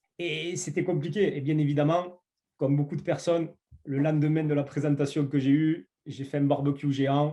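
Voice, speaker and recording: A man with a southern French accent speaks at a fairly high pitch and a moderate pace. His tone is dark and mellow, his intonation monotone and flat. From southern France. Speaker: network marketing entrepreneur. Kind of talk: interview. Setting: online call. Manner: hesitant, many fillers.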